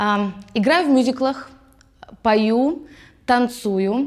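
The background stays quiet. A woman talks at a fairly high pitch, with ordinary pitch variation. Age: 20s. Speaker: musical theatre actress. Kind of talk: actor self-presentation. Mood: cheerful, playful. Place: studio. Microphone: lapel.

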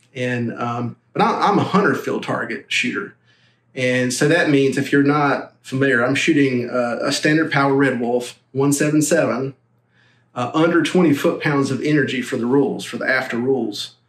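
With audible room echo, a man speaks at a moderate pace with ordinary pitch variation. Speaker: airgun reviewer. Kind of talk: product review talk to camera. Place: home room.

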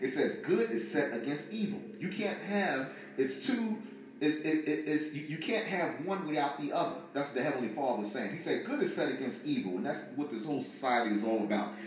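There is audible room echo on this recording. The man delivers his words at a fairly quick pace. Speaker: religious teacher. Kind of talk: sermon. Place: home room.

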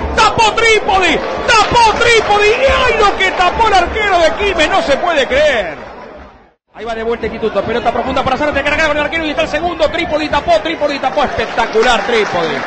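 A man's extremely high-pitched, animated voice with very wide pitch swings, against crowd noise in the background. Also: fairly quick pace. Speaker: radio football commentator. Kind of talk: live football commentary. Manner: animated, excitable, fast-paced with shouted goal calls; repeated shouted phrases at peaks.

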